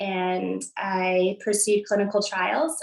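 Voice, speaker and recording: A woman speaks very slowly at a medium pitch. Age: 30s. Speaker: cancer patient. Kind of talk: personal testimony.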